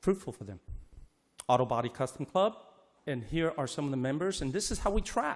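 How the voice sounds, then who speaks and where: A man with a Chinese accent, a fairly quick pace, long and frequent pauses, and very wide pitch swings. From Hong Kong, raised in US from age six. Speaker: auto body instructor. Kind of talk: public comment at board meeting. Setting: board meeting with audience. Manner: hurried.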